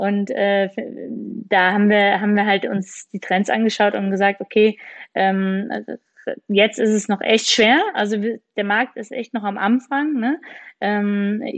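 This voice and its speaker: A woman's medium-pitched voice, fairly slow, with ordinary pitch variation and long, frequent pauses. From Rhineland, Germany. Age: 30s. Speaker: startup founder. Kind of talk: interview.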